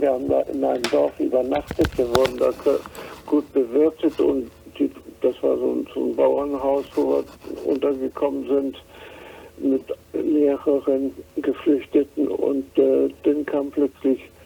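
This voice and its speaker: Fairly slow male speech broken by long, frequent pauses, with noticeable background noise. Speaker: war refugee. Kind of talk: interview answer, personal recollection. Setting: phone line.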